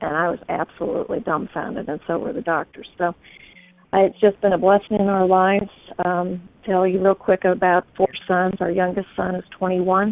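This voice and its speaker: At a medium pitch and moderate pace, a woman with a normal speaking voice talks with fairly even intonation. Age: 60s. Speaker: testimonial speaker. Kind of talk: testimony.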